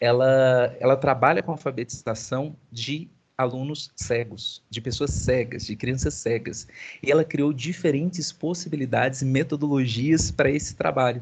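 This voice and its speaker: A man speaks at a medium pitch in a somewhat breathy voice, with ordinary pitch variation. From Minas Gerais, Zona da Mata (Brazil). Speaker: university professor. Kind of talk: online class meeting with students. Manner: fast; animated.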